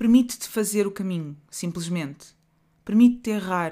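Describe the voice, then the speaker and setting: A woman with a European Portuguese accent speaks at a moderate pace and medium pitch. Her tone is dark and mellow, in a very clean recording with a silent background. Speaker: podcast host and author. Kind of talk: reflective monologue.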